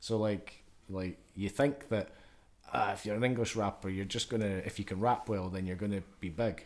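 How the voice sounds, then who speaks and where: With a Scottish accent, a man speaks at a moderate pace. His pitch is fairly low and his intonation fairly even. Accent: Scottish (Edinburgh area). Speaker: podcast host. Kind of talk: casual chat.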